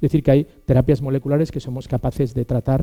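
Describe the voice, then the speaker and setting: In a dark, mellow tone, a man at medium pitch speaks at a fairly quick pace with fairly even intonation, the sound dry and close with no echo. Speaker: physician and academic lecturer. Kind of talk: lecture. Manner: fast.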